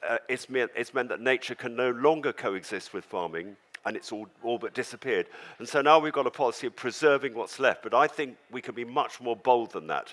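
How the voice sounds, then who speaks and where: A man with a southern English accent at a fairly quick pace. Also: medium pitch for a man, ordinary pitch variation. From London, England. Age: 70s. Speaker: farmer. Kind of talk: talk to audience.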